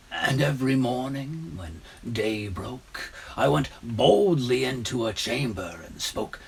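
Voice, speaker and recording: Through clear background noise, a man in a put-on character voice speaks in an intense tone at medium pitch and a fairly slow pace. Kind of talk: gothic horror monologue. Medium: stage play. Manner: intense, conspiratorial, proud of his cunning.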